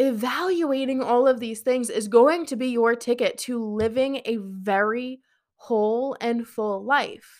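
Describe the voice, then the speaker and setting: The speech moves at a fairly slow pace with ordinary pitch variation. The recording is very clean, with a silent background. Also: woman, high pitch for a woman. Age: 20s. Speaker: podcast host and business coach. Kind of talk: solo podcast monologue. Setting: live stream on social media. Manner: casual, filler-heavy.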